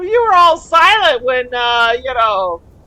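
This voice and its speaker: The speech moves at a very slow pace with very wide pitch swings. Noticeable background noise can be heard. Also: woman. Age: 60s. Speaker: gaming streamer. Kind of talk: live gameplay stream commentary. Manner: halting, hesitant.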